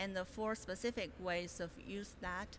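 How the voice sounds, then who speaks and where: In a Chinese accent, a woman with a bright, sharp tone and a medium pitch speaks at a moderate pace in a monotone, flat intonation, with audible room echo around her. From China. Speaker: graduate student presenter. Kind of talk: conference presentation. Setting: conference room with audience. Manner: hesitant, many fillers.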